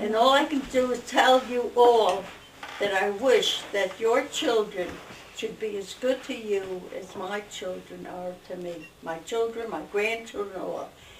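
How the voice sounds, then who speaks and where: In a room with audible echo and noticeable background noise, a woman speaks at a fairly slow pace in a fairly high pitch, with ordinary pitch variation and big swings in loudness. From Newark, New Jersey. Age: 90s. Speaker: family elder interviewed. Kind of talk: oral history interview.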